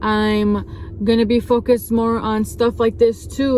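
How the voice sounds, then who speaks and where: Over noticeable background noise, a woman with a fairly high pitch speaks in a flat monotone. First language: not English. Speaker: youtuber / vlogger. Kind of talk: personal vlog talking to camera. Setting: recorded alone to camera. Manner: halting, searching for words.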